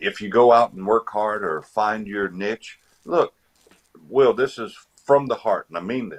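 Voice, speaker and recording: A man with an American accent speaks at a medium pitch and a fairly slow pace, leaving long, frequent pauses. His loudness swings widely, and the sound is dry and close with no echo. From Virginia, Eastern Shore. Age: 50s. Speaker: retired army veteran. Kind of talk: casual interview chat.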